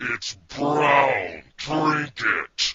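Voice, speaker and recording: A put-on character voice from a man, growling and fairly high in pitch. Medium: audio drama. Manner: dry, deadpan.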